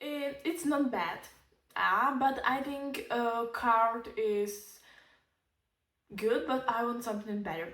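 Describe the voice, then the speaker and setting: Amid audible room echo, a woman with a Czech accent speaks at a very slow pace in a fairly high, bright and sharp voice with ordinary pitch variation. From Czech Republic. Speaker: lifestyle vlogger. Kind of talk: casual vlog tutorial. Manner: halting, hesitant non-native phrasing.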